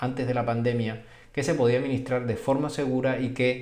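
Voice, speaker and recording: Moderately paced speech from a man with a medium-pitched voice and audible room echo. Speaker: physician. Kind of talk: video explainer. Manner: halting, repetitive fillers.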